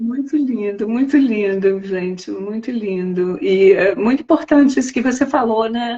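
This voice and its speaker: Using an ordinary speaking voice, a woman talks at a fairly slow pace with hardly any pauses, her fairly high pitch carrying lively intonation. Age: 60s. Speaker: spiritual teacher. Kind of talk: live stream conversation.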